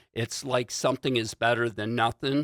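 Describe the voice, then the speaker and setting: Recorded very cleanly against a silent background with a dry, close sound and no echo, a man with an American accent speaks at a medium pitch and a moderate pace, his tone bright and sharp and his intonation fairly even. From US Midwest, Warren, Michigan. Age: 60s. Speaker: insurance agent and martial arts instructor. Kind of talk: casual talk to camera. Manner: hesitant, many fillers.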